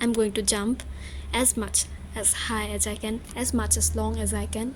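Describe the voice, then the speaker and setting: A woman is heard over noticeable background noise. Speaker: vlogger, exam student. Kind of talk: personal vlog, emotional monologue. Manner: halting, stuttering.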